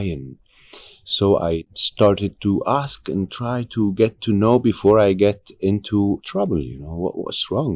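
A man with an Arabic accent speaks at a fairly low pitch with ordinary pitch variation. The recording is very clean, with a silent background. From Egypt. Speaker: actor and activist. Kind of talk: interview conversation. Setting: recorded at a conference.

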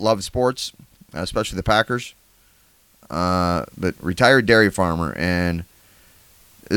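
A moderate pace from a man, his pitch variation ordinary. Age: 40s. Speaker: podcast host. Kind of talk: casual chat.

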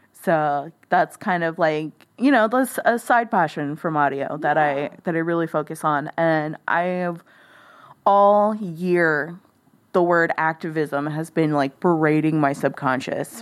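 A woman with an American accent and a plain, everyday voice speaks at a fairly slow pace with ordinary pitch variation, in a very clean recording with a silent background. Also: fairly low pitch for a woman. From rural South Texas (Live Oak County). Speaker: broadcast engineer and podcast editor. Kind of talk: casual interview. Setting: in person at host's apartment.

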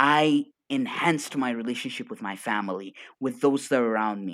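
A man with an Arabic accent speaks in an animated, energetic tone at a fairly high pitch, his voice making very wide pitch swings. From Arabic-speaking region. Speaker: coach. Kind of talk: casual chat. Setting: video call.

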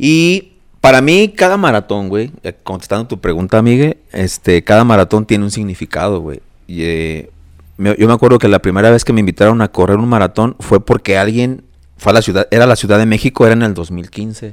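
In a plain, everyday voice, a man talks at a fairly low pitch and a fairly quick pace, with ordinary pitch variation and a dry, close sound with no echo. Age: 40s. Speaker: marathon runner and architect. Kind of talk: casual chat.

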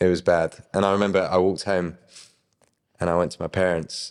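With a southern English accent, a man speaks at a fairly quick pace and a very deep, low pitch. The recording is very clean and the background silent. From southern England. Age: young. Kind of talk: testimony. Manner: animated.

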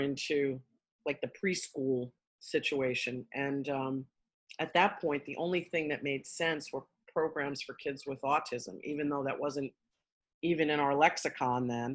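Speaking in a New York accent, a woman uses a very deep, low pitch at a fairly slow pace with fairly even intonation. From Queens, New York. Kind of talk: casual interview.

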